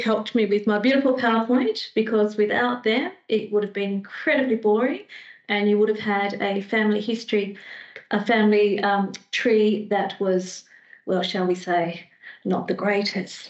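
A woman with an Australian accent speaks at a moderate pace in a fairly high pitch and fairly even intonation, with audible room echo and a quiet background. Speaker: librarian giving a history talk; presenter. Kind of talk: public talk. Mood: warm, lightly humorous. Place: home room. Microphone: headset.

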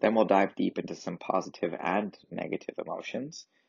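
At a moderate pace, a man with a fairly low pitch and ordinary pitch variation speaks in a plain, everyday voice. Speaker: yoga and meditation teacher. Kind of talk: guided meditation. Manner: gentle and reassuring.

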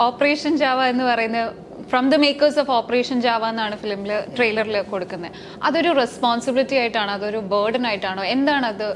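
This woman's fairly high voice varies in pitch in an ordinary way, with noticeable background noise present. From Thiruvalla, Pathanamthitta, Kerala. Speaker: interviewer. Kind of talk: interview.

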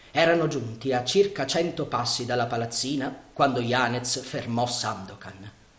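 Just plain reading aloud.

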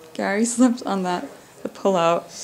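A woman speaks fairly slowly at a medium pitch. Her tone is slightly mellow, with ordinary pitch variation.

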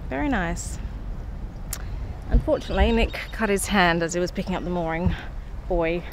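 A woman talks at a moderate pace. Her pitch swings a lot.

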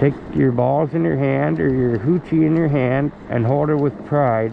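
Speaking at a very slow pace with a Canadian accent, a man comes through with a dry sound with no echo and noticeable background noise. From Canada. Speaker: vlogger; e-bike rider vlogger. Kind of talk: casual rant. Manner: halting. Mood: agitated political rant. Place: bicycle. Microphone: phone near.

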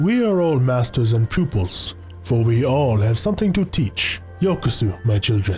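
Medium-pitched man's voice with very wide pitch swings at a moderate pace, clear music in the background. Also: very even loudness. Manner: serene, cryptic.

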